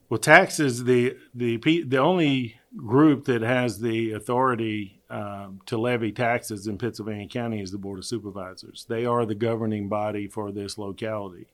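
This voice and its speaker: A man's medium-pitched voice, a normal speaking voice, at a moderate pace with ordinary pitch variation and hardly any pauses. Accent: American. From US South, Virginia. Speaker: county treasurer. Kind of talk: interview.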